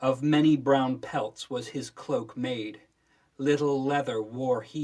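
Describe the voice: Plain reading aloud, with fairly even intonation. Behind it, the background stays quiet.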